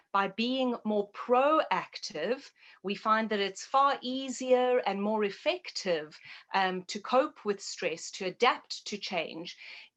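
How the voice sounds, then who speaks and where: In a South African accent, a woman speaks very slowly at a fairly high pitch with lively intonation. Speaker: naturopath and health educator. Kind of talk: interview.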